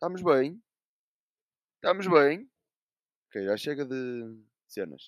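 Pausing long and often, a man speaks very slowly at a fairly high pitch with lively intonation. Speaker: podcast host. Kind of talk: casual chat.

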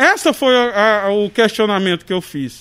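Intonation runs lively in this clip. A man delivers his words at a fairly slow pace. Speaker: motorcycle mechanic, shop owner. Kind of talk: interview testimony. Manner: emphatic, repeats entendeu.

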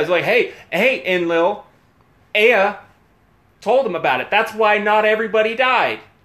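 This man's voice is high in pitch, with an animated tone and lively intonation. He talks at a moderate pace. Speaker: podcast co-host. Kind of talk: casual chat.

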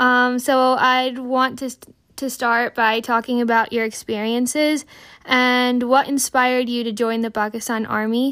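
A woman's bright, sharp, high voice in an American accent, fairly slow and monotone, with flat intonation. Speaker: podcast host. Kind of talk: casual monologue; interview. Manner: halting.

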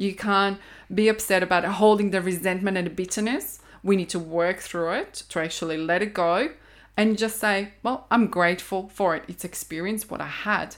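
A woman with a Croatian accent, medium pitch, fairly even intonation, and a moderate pace. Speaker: intuitive counselor. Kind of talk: interview conversation.

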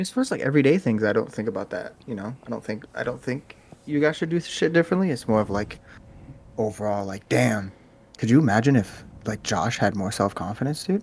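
A man with a plain, everyday voice talks fairly quickly at a medium pitch. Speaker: podcast co-host. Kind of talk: casual chat.

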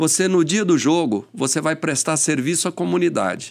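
With lively intonation, a man speaks at a moderate pace in a normal speaking voice. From São Paulo, Brazil. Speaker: police chief. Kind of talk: casual interview chat. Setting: studio.

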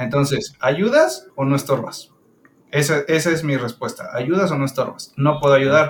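A man speaks at a fairly slow pace in a fairly high, somewhat breathy voice with ordinary pitch variation. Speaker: podcast co-host. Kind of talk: casual chat.

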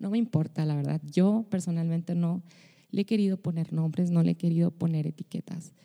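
This woman has a fairly low pitch. Her tone is dark and mellow. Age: 30s. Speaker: podcast host, pastor and singer. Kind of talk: personal podcast monologue.

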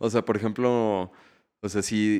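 Fairly low in pitch, this man has a plain, everyday voice. He speaks at a fairly slow pace against a quiet background. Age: 20s. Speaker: musician. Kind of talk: casual chat.

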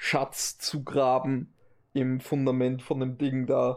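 This is a man speaking at a medium pitch. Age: 20s. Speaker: podcast co-host. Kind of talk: casual chat.

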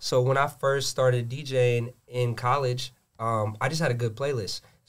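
In a plain, everyday voice, a man with an American accent speaks at a moderate pace and a medium pitch. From Gwinnett, Georgia, US. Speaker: DJ. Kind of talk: casual chat.

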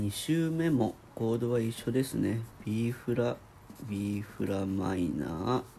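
The voice is somewhat breathy and moves at a very slow pace. Its intonation is lively. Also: man, medium pitch for a man. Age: 30s. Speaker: video diary vlogger. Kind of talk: casual solo vlog, music chord analysis. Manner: halting, thinking aloud.

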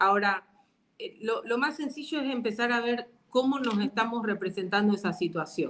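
A normal speaking voice from a woman, fairly high-pitched, with ordinary pitch variation and a moderate pace. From Argentina. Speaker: psychologist and NLP coach. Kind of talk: online interview.

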